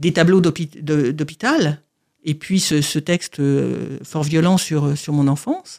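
Very deep and low, a woman's voice moves at a fairly slow pace with ordinary pitch variation. The recording is very clean with a silent background. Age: 60s. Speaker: author with paraplegia. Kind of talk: testimony. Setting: studio. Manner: halting.

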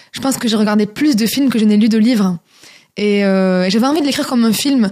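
This woman speaks with a southern French accent at a fairly high pitch. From southern France, Toulouse. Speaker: singer and author. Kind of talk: radio interview. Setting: radio studio.

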